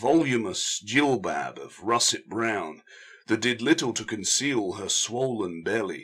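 The intonation is lively. The speaker reads aloud in a natural voice.

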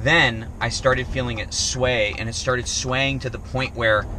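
A man speaks at a moderate pace, the sound dry with no echo and noticeable background noise behind him. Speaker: RV travel vlogger. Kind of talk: casual vlog chat. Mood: shaken, recounting scary event. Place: car. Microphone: phone near.

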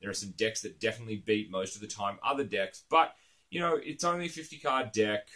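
With an Australian accent and a bright, sharp tone, a man speaks at a fairly quick pace against a quiet background. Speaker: card game YouTuber. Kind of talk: casual monologue to camera. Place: home room.

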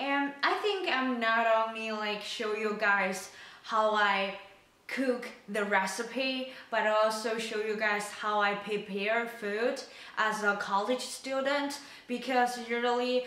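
Audible room echo surrounds a woman speaking at a very slow pace with fairly even intonation. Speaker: college student cooking vlogger. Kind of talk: casual vlog chat. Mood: calm, friendly. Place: kitchen.

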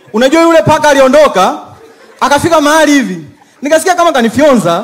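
The speech comes very fast. It is a man talking. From Tanzania, Mbeya; Tanzania. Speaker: comedian. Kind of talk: stand-up. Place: stage. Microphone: handheld.

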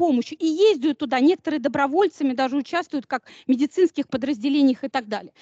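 A woman's voice with ordinary pitch variation, dry and close with no echo. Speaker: university lecturer. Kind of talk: lecture. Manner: animated.

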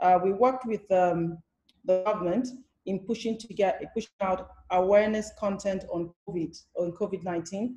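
A woman with a medium pitch and a dark, mellow, somewhat breathy tone talks at a moderate pace over a quiet background. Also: fairly even intonation. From Nigeria. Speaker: theatre director and producer; panelist. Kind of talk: panel discussion. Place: home room. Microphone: video call.

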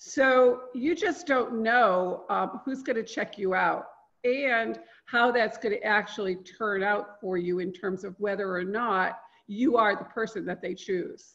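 A woman speaks at a fairly slow pace in a normal speaking voice. Her fairly high pitch shows ordinary variation. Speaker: LinkedIn marketing consultant. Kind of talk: live online training. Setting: video call.

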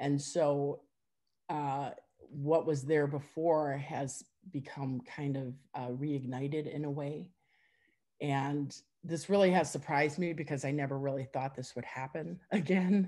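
In an Upper Midwest accent, a woman speaks at a fairly slow pace with a very deep, low pitch and a dark, mellow tone. Her intonation is fairly even, and the background is quiet. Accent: Upper Midwest American. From Wisconsin. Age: 50s. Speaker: forum member sharing personal story; interviewee. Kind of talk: testimony. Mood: reflective, personal. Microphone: video call.

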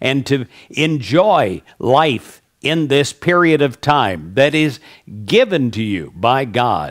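A man speaks very slowly in a warm tone. His pitch swings very widely, and the background is quiet. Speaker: prayer leader. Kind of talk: fervent prayer, spoken as an earnest blessing to the listener. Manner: earnest, warm, uplifting; measured, repetitive 'I pray' cadence. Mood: warm, smiling, uplifting. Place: studio. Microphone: headset.

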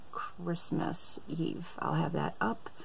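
This woman's voice is somewhat breathy and fairly low in pitch. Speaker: haul vlogger. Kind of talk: casual vlog chat. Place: home room. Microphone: phone near.

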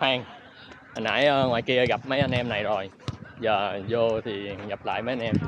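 A man speaks at a fairly slow pace with big swings in loudness over noticeable background noise. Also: medium pitch for a man, fairly even intonation, dry sound with no echo. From Vietnam. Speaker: football freestyler and YouTuber; YouTuber. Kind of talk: vlog commentary. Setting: outdoors. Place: stadium. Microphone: phone near.

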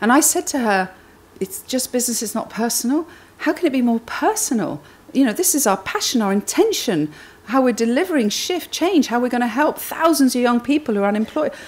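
A woman talks at a fairly high pitch, her voice making big pitch swings. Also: fairly quick pace, slightly mellow tone.

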